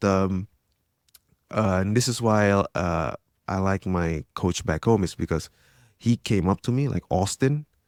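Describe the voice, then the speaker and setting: Dry and close with no echo on a very clean recording with a silent background, a man with an Indonesian accent speaks at a fairly slow pace and fairly low pitch with ordinary pitch variation. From Indonesia, Jakarta. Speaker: tech entrepreneur and grappler. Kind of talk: casual interview chat.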